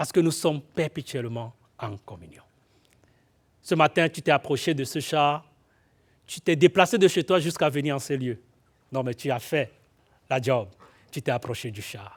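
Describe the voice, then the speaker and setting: A man speaks at a moderate pace with a fairly high pitch, ordinary pitch variation, and long, frequent pauses. The sound is dry and close with no echo, on a very clean recording with a silent background. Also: big swings in loudness. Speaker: guest preacher. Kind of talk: sermon. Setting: church. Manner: halting, repeats words with fillers.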